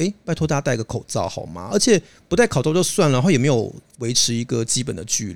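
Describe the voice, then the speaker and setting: A man at medium pitch speaks very fast with vocal fry, very wide pitch swings and big swings in loudness. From Taiwan, Hakka background. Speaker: podcast co-host. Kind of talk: casual chat.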